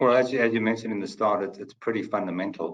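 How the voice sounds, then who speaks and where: A man speaks at a very fast pace with a South African accent. His intonation stays fairly even. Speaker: company CFO. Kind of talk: webinar panel discussion. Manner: halting, many fillers.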